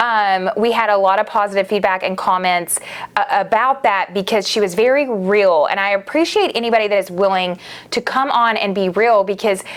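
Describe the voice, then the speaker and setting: A woman speaks in an enthusiastic tone at a medium pitch. Her moderate pace comes with ordinary pitch variation. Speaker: podcast host; media company founder. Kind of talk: casual podcast monologue.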